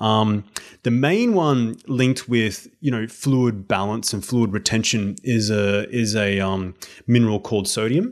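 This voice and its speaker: A man with a plain, everyday voice talks at a fairly slow pace and medium pitch with ordinary pitch variation, on a very clean recording with a silent background. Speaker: health and exercise coach. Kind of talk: casual interview chat.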